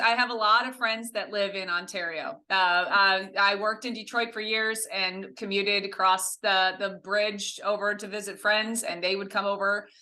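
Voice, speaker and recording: This woman has an American accent and a medium pitch. She talks at a moderate pace with fairly even intonation and hardly any pauses. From US Midwest, Ohio near Windsor. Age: 50s. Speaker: social media content creator. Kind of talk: podcast interview.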